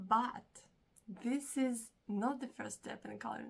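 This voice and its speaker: A woman's somewhat breathy voice proceeds at a fairly slow pace. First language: not English. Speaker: hobby vlogger. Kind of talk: casual vlog. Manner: animated.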